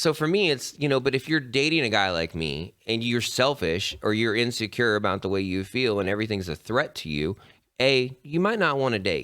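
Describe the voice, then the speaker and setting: A man with an Appalachian accent speaks at a fairly quick pace and medium pitch, his bright, sharp tone marked by very wide pitch swings, on a very clean recording with a silent background. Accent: Appalachian American. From Appalachia, West Virginia. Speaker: tattoo artist and podcast host. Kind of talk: casual chat. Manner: animated.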